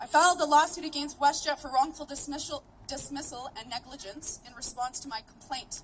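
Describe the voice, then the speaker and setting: The woman's voice sits at a high pitch. She talks at a moderate pace, her pitch varying in an ordinary way. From Canada, Vancouver. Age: 30s. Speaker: activist and former flight attendant. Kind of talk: rally speech.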